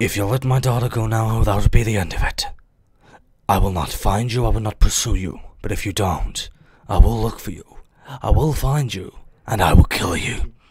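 A put-on character voice from a man at medium pitch, at a moderate pace, with long, frequent pauses and ordinary pitch variation. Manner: menacing, serious.

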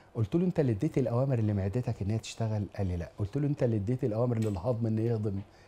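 In an Egyptian accent, a man talks at a very fast pace with hardly any pauses, somewhat breathy and dark, mellow in tone, his pitch varying in an ordinary way. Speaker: lecturer on family and marriage; TV lecturer on family life. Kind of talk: religious lecture to an audience. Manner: animated. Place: studio. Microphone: lapel.

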